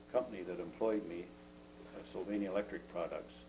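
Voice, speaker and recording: With an Ontario accent, a man speaks at a fairly quick pace. His pitch is fairly low, with ordinary pitch variation. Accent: Canadian English, Ontario. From Ontario, Canada. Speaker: retired engineer, grandfather. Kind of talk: casual family interview. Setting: home video. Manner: halting, many fillers.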